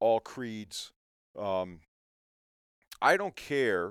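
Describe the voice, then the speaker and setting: A man speaks at a medium pitch with an American accent. The sound is dry and close with no echo, on a very clean recording with a silent background. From Connecticut. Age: 40s. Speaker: custom fishing rod builder. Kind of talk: casual interview chat. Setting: in his workshop.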